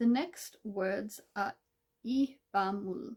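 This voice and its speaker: Pitched in a medium range, a woman's voice is somewhat breathy and shows ordinary pitch variation. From Australia. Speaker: Korean language content creator. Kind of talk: tutorial. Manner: casual.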